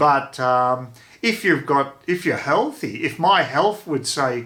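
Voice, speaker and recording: The voice carries an Australian accent. Its tone is bright and sharp. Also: man. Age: 60s. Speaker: vlogger. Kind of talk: casual vlog monologue. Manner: halting, many fillers and repeats.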